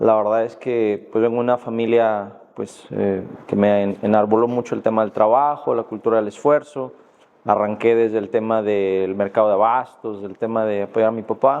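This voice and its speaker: The speaker has a western Mexican accent. The pace is moderate and the intonation fairly even. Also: man, medium pitch for a man. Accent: Mexican Spanish (western, Guadalajara). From Mexico, Jalisco. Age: 40s. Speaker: judge and law lecturer. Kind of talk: podcast interview. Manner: hesitant, many fillers.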